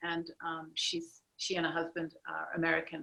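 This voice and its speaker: A woman speaks with a strong Australian accent at a fairly low pitch. Her tone is bright and sharp, and her pace is moderate. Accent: broad Australian. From Australia, Sydney. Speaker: artist. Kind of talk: video interview.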